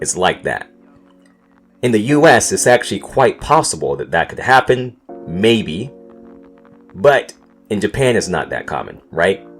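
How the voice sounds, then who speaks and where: A man with an American accent, fairly slow pace and lively intonation, with music in the background. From North Carolina, USA. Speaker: podcast host. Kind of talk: casual podcast storytelling.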